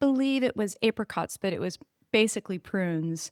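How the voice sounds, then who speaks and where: A woman with an American accent speaks at a fairly slow pace and medium pitch, with ordinary pitch variation. The recording is very clean with a silent background, dry and close with no echo. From Northern California, US. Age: 60s. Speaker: podcast guest, spiritual healer. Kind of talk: casual interview chat. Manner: animated.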